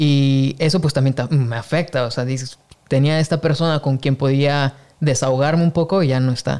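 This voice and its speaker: At a moderate pace, the speaker uses a plain, everyday voice with very even loudness and fairly even intonation. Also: man, fairly high pitch for a man. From Mexico. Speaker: podcast host, photographer. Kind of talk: casual interview chat.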